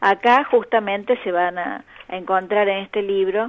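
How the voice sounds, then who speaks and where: Her pitch sits at a medium level and varies in an ordinary way. The woman talks very slowly. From Argentina, Córdoba. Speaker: children's author and folklore collector. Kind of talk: interview.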